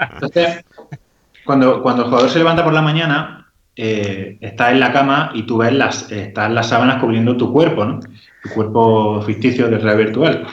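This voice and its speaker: In an Andalusian accent, a man talks at a moderate pace with a medium pitch. Room echo is audible. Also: ordinary pitch variation. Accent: Jaén. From Andalusia, Jaén. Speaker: video game designer. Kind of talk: casual interview.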